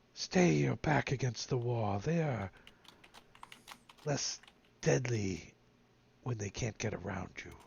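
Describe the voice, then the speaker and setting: A man whispers in a raspy, put-on character voice. He goes at a fairly slow pace with long, frequent pauses. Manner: whispering, urgent.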